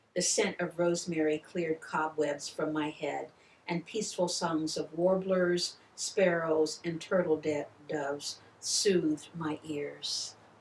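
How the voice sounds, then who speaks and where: A woman with an American accent speaks very slowly at a fairly low pitch, with fairly even intonation. Noticeable background noise can be heard. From Ohio Valley, US Midwest. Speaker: poet. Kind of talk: reading aloud.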